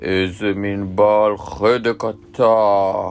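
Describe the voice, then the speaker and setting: This put-on character voice comes out as a growl. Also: man, fairly low pitch for a man. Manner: growling, menacing.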